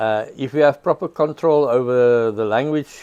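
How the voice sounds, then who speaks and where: With a South African accent, a man speaks in a dark, mellow tone. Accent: Afrikaans South African English. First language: Afrikaans. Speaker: prosecutor. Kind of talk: storytelling interview.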